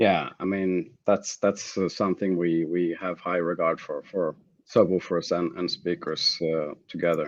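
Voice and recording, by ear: A low-pitched man with little pitch movement at a fairly slow pace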